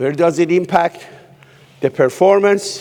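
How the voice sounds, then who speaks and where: A man talks at a fairly slow pace with a non-native accent and ordinary pitch variation. Noticeable background noise is present. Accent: foreign. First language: not English. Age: 60s. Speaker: keynote speaker, human behaviorist. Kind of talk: keynote speech. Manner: animated.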